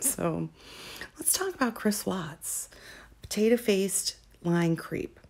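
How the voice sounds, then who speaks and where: Soft-spoken, a woman talks at a very slow pace. Her medium pitch carries lively intonation. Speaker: true crime commentator. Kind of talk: casual commentary. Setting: at home at night. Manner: soft-spoken, speaking quietly.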